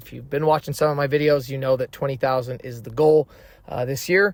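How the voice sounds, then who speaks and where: A man's fairly high voice with fairly even intonation, on a very clean recording with a silent background. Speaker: true crime YouTuber. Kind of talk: true crime narration with commentary. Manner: fast; casual, conversational.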